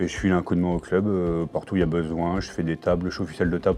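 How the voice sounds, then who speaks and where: This man's very deep, low voice races along at a very fast pace. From France, Vierzon (Cher). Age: 30s. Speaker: club volunteer and youth handball coach. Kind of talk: casual interview.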